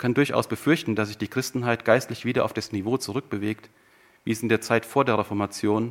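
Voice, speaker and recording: A man speaks very fast at a medium pitch with fairly even intonation, recorded very cleanly against a silent background. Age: 50s. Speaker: preacher. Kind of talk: sermon.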